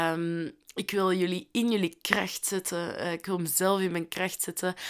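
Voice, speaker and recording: The recording is very clean with a silent background as a woman with a Flemish accent speaks at a fairly slow pace. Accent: Flemish Dutch. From Flanders, Belgium (Londerzeel). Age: 20s. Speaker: podcast host, social worker. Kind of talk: casual solo podcast monologue. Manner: chatty, talkative.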